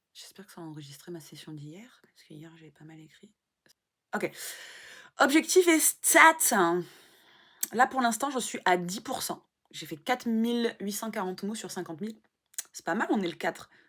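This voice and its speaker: A woman speaks at medium pitch and a moderate pace, with very wide pitch swings, big swings in loudness and long, frequent pauses, on a very clean recording with a silent background. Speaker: vlogger and aspiring writer. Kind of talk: casual vlog. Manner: halting.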